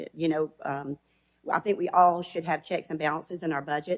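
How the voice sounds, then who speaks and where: In an Alabama accent, a woman speaks at a fairly low pitch. Her pace is moderate and her intonation fairly even. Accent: Southern US (Alabama). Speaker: elected county official. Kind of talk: public meeting comment. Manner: loud.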